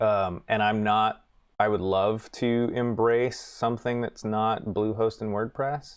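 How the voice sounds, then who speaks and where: Recorded very cleanly against a silent background, a man talks with an American accent. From US South, North Carolina. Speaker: writer and live streamer. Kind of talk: casual live stream chat while writing. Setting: live stream. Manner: casual, chatty.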